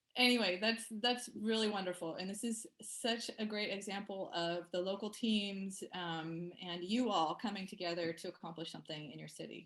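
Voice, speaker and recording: Speaking at a moderate pace with medium pitch and ordinary pitch variation, a woman uses an ordinary speaking voice. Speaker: meeting facilitator. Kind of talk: online meeting facilitation.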